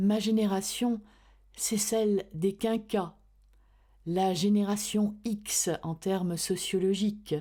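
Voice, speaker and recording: A woman's medium-pitched voice with a dark, mellow tone, on a very clean recording with a silent background. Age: 50s. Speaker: voice-over artist. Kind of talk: introspective podcast narration.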